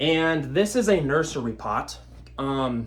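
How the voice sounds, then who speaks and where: This man's pitch sits fairly high for a man. His pitch varies in an ordinary way. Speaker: houseplant YouTuber. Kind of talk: casual tutorial. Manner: casual, rambling.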